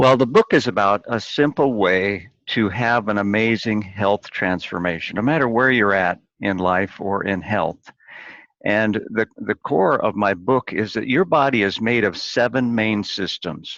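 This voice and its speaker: A man with an unremarkable speaking voice talks at a fairly slow pace with an American accent, a fairly low pitch and ordinary pitch variation, recorded dry and close with no echo. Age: 60s. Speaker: chiropractor and author. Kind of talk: interview.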